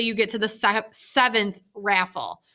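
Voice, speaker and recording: A woman talks at a fairly slow pace in a bright, sharp tone. The recording is very clean, with a silent background. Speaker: math teacher. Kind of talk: tutorial. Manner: casual, hesitant with many ums.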